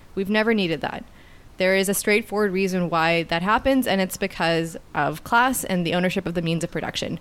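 In a Canadian accent, a woman with a medium pitch uses a plain, everyday voice at a fairly quick pace. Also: ordinary pitch variation, very clean recording, silent background. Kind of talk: casual political discussion.

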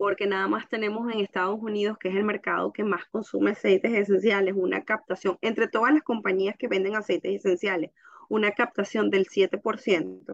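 Here a woman speaks at a moderate pace and a medium pitch. Her intonation is fairly even, with vocal fry. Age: 30s. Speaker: essential oils distributor. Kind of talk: casual chat.

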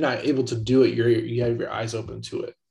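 At a fairly quick pace, a man talks in a medium-pitched, somewhat breathy voice. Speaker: podcast co-host. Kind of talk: casual chat. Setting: video call.

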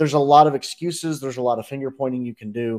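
A man speaks very fast at a medium pitch. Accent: American. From North Carolina. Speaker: sports podcast co-host. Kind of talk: casual chat.

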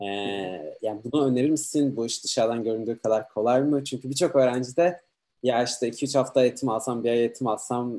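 A man speaks with a dark, mellow tone at a medium pitch. His pace is fairly quick and his pitch varies in an ordinary way. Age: 30s. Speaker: livestream host. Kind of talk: online interview.

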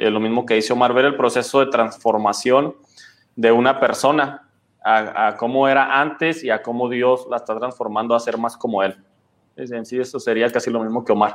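A man speaks at a moderate pace with a medium pitch and a plain, everyday voice. His intonation stays fairly even. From Chihuahua, Mexico. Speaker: pastor. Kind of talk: casual chat.

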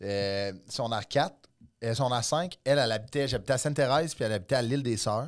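Recorded very cleanly with a silent background, a man talks at a fairly quick pace and medium pitch with ordinary pitch variation, in a normal speaking voice. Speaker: comedian. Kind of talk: casual chat.

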